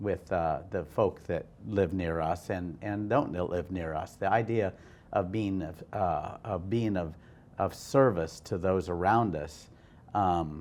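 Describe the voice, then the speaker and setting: Speaking at a very slow pace, a man with an American accent uses a very deep, low pitch with ordinary pitch variation. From US Midwest, Iowa. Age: 60s. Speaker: hotel and restaurant owner. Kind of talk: interview. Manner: halting, many restarts.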